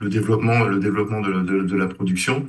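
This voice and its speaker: Fairly low in pitch, a man's voice comes through noticeable background noise and audible room echo. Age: 60s. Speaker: engineer, former student. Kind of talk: interview. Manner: halting, many hesitations.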